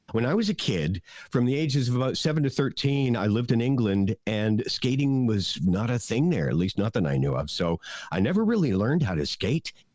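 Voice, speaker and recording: With a Canadian accent, a man at a medium pitch speaks at a fairly quick pace, his voice making very wide pitch swings while its loudness stays very even, on a very clean recording with a silent background. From Canada. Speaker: podcast co-host. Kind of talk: casual chat.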